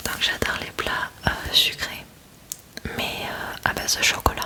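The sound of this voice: Whispering from a woman at a fairly slow pace.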